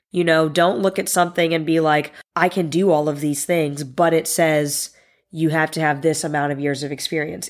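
On a very clean recording with a silent background, a woman speaks with an American accent. Hers is an ordinary speaking voice, fairly low in pitch and at a moderate pace. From Northern Virginia, US. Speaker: podcast host and sports social media manager. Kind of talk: solo podcast monologue.

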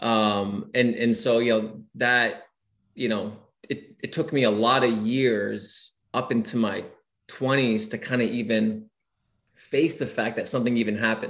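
Fairly even intonation marks a man with a normal speaking voice at a medium pitch. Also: fairly slow pace. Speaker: preacher and digital creator. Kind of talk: casual interview chat, testimony.

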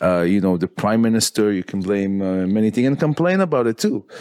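Heard in a dry, close sound with no echo, a man speaks at a fairly quick pace. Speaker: podcast host. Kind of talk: casual interview chat.

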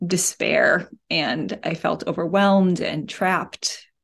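An ordinary speaking voice from a woman, fairly low in pitch with ordinary pitch variation, over a quiet background. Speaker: spiritual guidance director and parent. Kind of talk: interview conversation about spirituality.

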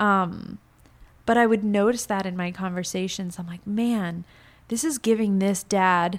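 An unremarkable speaking voice moves at a moderate pace with ordinary pitch variation, recorded very cleanly against a silent background. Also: woman. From Florida, US, Cuban family. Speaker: salon owner and entrepreneur. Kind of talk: casual interview chat.

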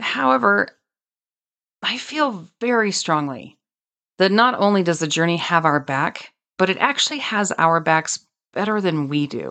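This woman speaks with a bright, sharp tone at a fairly low pitch, leaving long, frequent pauses. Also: lively intonation, fairly slow pace, quiet background. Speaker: podcast host and author. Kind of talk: solo monologue. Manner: more intense when passionate.

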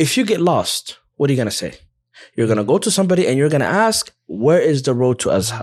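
Speaking very fast in an American accent, a man with a fairly high voice moves through very wide pitch swings. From USA. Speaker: Islamic teacher who studied abroad. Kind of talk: casual interview chat.

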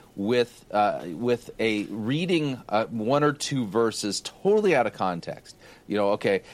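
An unremarkable speaking voice from a man at medium pitch, lively in intonation, at a fairly slow pace. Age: 50s. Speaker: pastor. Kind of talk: casual chat.

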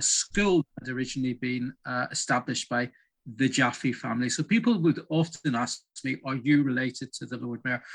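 A man speaks with a Northern Irish accent at a moderate pace. His voice is medium in pitch with ordinary variation, over a quiet background. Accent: Northern Irish (Belfast). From Northern Ireland, Belfast. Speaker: heritage project director. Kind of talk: interview. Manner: halting.

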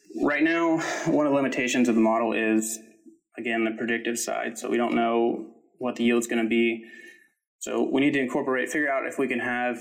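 A man at a medium pitch with fairly even intonation and audible room echo. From Kentucky. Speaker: PhD student in engineering. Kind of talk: interview. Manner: hesitant with fillers.

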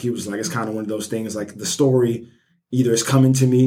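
A man talks with fairly even intonation and a medium pitch, his delivery very fast. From US South, Birmingham, Alabama. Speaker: first-time author. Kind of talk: casual interview. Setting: in-person recording. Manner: casual, many filler words.

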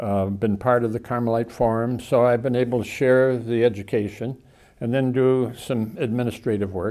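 A man with an American accent talks at a moderate pace, his pitch medium and his intonation fairly even. His tone is dark and mellow. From Southern California. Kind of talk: interview.

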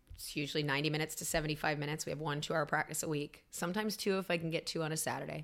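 A woman's very deep, low voice with an American accent, very fast and with hardly any pauses, in fairly even intonation. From North Carolina (Raleigh). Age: 40s. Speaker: swim coach. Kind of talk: casual interview conversation.

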